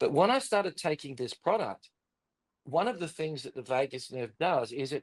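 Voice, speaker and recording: Here a man speaks with lively intonation. His pace is moderate. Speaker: pastor. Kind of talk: testimony. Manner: halting.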